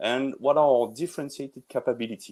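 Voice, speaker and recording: A man with a fairly high pitch and a French accent. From France. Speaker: tech industry presenter. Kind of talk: webinar presentation. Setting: online webinar. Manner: halting, many fillers.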